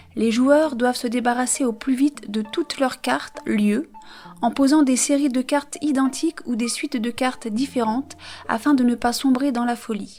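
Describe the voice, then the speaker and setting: A woman's high voice at a moderate pace, with fairly even intonation and noticeable background noise. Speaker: board game youtuber. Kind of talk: reading aloud.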